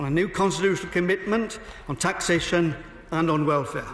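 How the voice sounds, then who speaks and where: A man with a Welsh accent, a high pitch, and ordinary pitch variation at a fairly quick pace, over noticeable background noise. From Wales. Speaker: member of parliament. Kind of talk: parliamentary debate speech. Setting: parliament chamber. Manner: formal.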